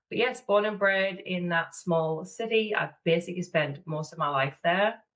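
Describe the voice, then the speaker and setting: Speaking in a northeast English accent, a woman has a fairly low pitch, ordinary pitch variation and a moderate pace. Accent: northeast English (Sunderland). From northeast England, Sunderland. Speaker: business manager and mentor. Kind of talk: podcast interview.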